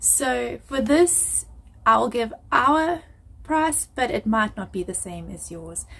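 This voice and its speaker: The woman's pitch swings very wide as she talks. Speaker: family vlogger. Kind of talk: casual vlog chat. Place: home room. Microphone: phone near.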